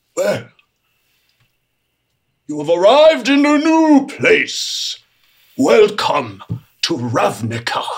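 A man uses a put-on character voice. He speaks very slowly, with long, frequent pauses. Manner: folksy, amazed.

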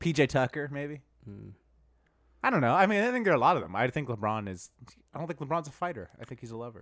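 A fairly high-pitched man with vocal fry talks very fast, his pitch swinging very widely. Long, frequent pauses break up his speech. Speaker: podcast host. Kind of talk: casual banter about basketball. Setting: recorded at a friend's home.

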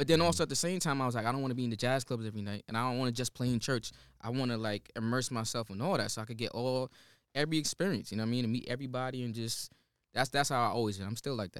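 Recorded very cleanly against a silent background, a man with an American accent talks very fast at a medium pitch. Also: ordinary pitch variation. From New Jersey (Teaneck). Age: young. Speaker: singer-songwriter. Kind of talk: casual chat.

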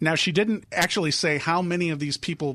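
Talking at a fairly quick pace, a man uses a normal speaking voice with ordinary pitch variation. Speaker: political radio correspondent. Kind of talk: news interview.

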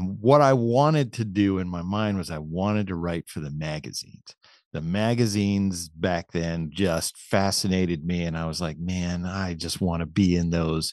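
A man with an American accent speaks at a moderate pace with hardly any pauses. His pitch is very deep and low, with ordinary pitch variation, over a quiet background. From Pennsylvania, Lancaster area. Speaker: archery expert and writer. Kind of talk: casual interview. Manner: halting.

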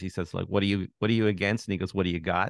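A man speaks with a Canadian accent at a very deep, low pitch. His intonation stays fairly even against a quiet background. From Canada, Toronto. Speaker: journalist and author. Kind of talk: interview.

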